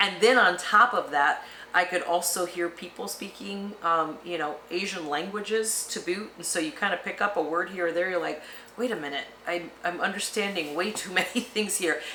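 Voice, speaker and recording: A woman speaks at a moderate pace and a medium pitch, with ordinary pitch variation. There is audible room echo and noticeable background noise. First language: Spanish. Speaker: retirement travel vlogger. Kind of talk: casual chat.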